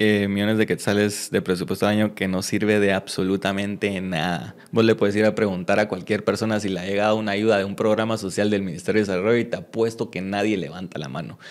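Very fast speech from a man with a fairly low pitch, hardly any pauses, and a quiet background. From Guatemala. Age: 20s. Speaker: mayoral candidate; candidate. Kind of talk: interview. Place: studio. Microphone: studio mic.

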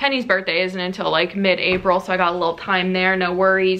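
A woman's raspy, put-on character voice at medium pitch, very fast in pace, with fairly even intonation. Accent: Pittsburgh. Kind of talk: casual vlog chat.

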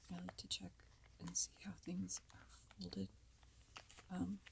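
Soft-spoken, a woman talks at a moderate pace over noticeable background noise. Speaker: ASMR content creator. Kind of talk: casual talk to camera, reflective commentary over old videos. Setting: lavalier microphone, lo-fi recording.

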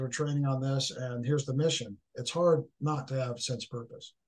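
Against a quiet background, a somewhat breathy voice with an American accent speaks in a dark, mellow tone with ordinary pitch variation. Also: man. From Northern California. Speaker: author, leadership speaker, military veteran; guest. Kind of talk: podcast interview, conversational. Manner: halting, repeats words. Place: home room. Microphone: video call.

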